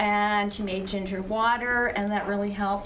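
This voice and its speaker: Amid audible room echo and noticeable background noise, a woman speaks at medium pitch and a moderate pace with ordinary pitch variation. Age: 70s. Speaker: cancer survivor on a panel. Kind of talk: personal testimony.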